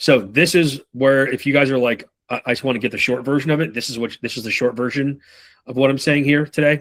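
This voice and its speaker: Words come out very fast, and the intonation moves in a normal way. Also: man. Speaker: sales trainer. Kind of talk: live training session.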